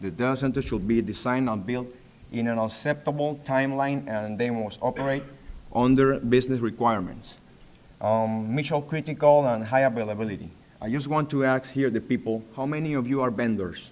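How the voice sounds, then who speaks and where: Amid audible room echo, a man with a Spanish accent speaks at a fairly quick pace at medium pitch with ordinary pitch variation. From Panama. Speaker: data center facilities manager. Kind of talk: conference presentation. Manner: halting.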